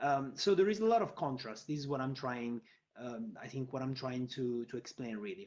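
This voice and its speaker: A man's intonation is lively as he talks at a medium pitch. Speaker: fintech panelist. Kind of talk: panel discussion. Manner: fast.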